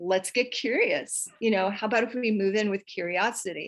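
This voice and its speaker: At a moderate pace, a woman speaks with a fairly high pitch. Her pitch varies in an ordinary way. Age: 60s. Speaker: sex and intimacy coach. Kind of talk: podcast interview. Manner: animated.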